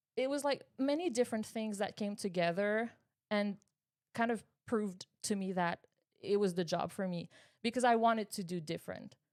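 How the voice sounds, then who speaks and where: Here a woman speaks at a medium pitch in a Quebec accent. The recording is very clean, with a silent background. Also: ordinary pitch variation, moderate pace. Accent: Québécois French accent in English. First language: French. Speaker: high school English teacher. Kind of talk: interview. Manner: halting, with many repetitions.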